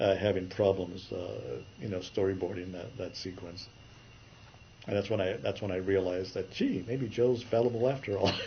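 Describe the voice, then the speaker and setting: Somewhat breathy and fairly low-pitched, a man speaks at a moderate pace with fairly even intonation, and audible room echo surrounds him. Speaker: animation story artist. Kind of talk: interview.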